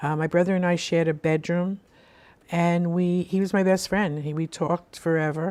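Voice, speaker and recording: With a Brooklyn accent, a woman speaks in a fairly low pitch, her tone dark and mellow and her intonation monotone and flat. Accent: New York (Brooklyn). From US Northeast, Brooklyn, New York. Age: 70s. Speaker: spiritual radio show host. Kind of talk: life story interview. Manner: conversational with frequent fillers and restarts.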